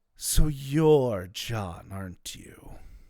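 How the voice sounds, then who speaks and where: A man puts on a character voice at a medium pitch. His intonation is lively. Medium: actual play. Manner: cryptic, questioning.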